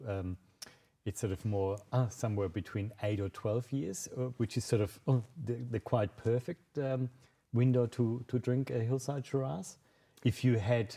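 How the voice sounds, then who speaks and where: A man speaks with a German accent at a moderate pace. His tone is dark and mellow, somewhat breathy, with ordinary pitch variation. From Germany, Munich, Bavaria. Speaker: wine sales manager. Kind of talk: virtual tasting presentation. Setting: live video stream. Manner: halting, many fillers.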